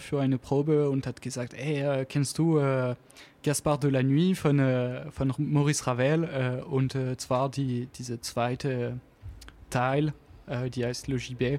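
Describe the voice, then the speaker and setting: A man's dark, mellow voice at a fairly high pitch, very slow in pace, with fairly even intonation and a strong French accent. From French Alps near Geneva, France. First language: French (speaking German). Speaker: jazz double bassist. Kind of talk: radio interview. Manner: halting, searching for words.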